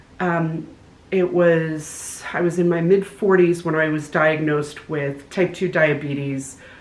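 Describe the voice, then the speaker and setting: A woman with a very deep, low pitch talks with fairly even intonation. The room echo is audible, and background noise is noticeable. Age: 60s. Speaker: hiker vlogger. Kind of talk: casual chat.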